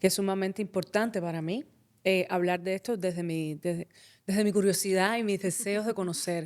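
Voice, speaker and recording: An unremarkable speaking voice from a woman, medium in pitch, fairly even in intonation and fairly quick in pace. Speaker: podcast host and actress. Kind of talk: podcast interview questions.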